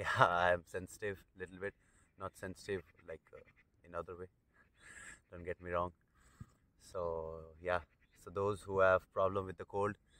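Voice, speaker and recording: A man with a very deep, low pitch and a bright, sharp tone speaks in a monotone, flat intonation at a moderate pace with long, frequent pauses, the sound dry with no echo. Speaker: international student vlogger. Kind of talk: casual vlog chat. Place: open country. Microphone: earbuds.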